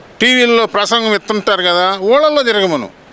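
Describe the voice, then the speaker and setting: A man's high-pitched, raised and projected voice with ordinary pitch variation. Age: 70s. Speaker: farmer. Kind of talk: street interview answer. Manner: angry, blunt.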